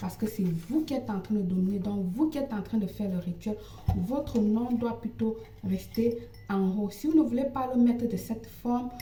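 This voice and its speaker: Against noticeable background noise, a woman with a non-native accent speaks at a fairly high pitch. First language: not French (speaking French). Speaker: ritual practitioner and psychic. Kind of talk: tutorial. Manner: halting.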